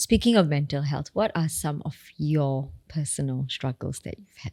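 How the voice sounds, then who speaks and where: A woman's very deep, low voice with a dark, mellow tone, somewhat breathy, with lively intonation, big swings in loudness and a moderate pace, in a dry, close sound with no echo. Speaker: podcast host. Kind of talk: podcast hosting.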